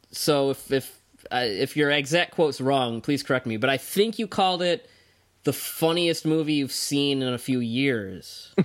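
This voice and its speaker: Speaking at a moderate pace, a man with an ordinary speaking voice uses lively intonation at a fairly high pitch. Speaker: podcast host. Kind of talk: casual chat.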